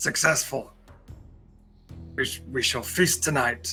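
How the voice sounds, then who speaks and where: A man does a put-on character voice at medium pitch, with very wide pitch swings and a fairly slow pace. Clear music plays in the background. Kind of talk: articulate, measured. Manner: eloquent.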